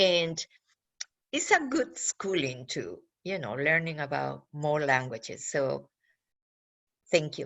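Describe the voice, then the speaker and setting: Speaking very slowly in a Peruvian accent, a woman leaves long, frequent pauses. Her loudness swings a lot. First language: Spanish. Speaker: government outreach official. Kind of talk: panel talk for students. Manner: halting.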